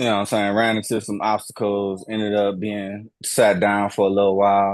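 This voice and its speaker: Against a quiet background, a man with an American accent speaks in a fairly low pitch with monotone, flat intonation. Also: moderate pace. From Houston, Texas. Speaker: podcast host. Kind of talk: casual chat.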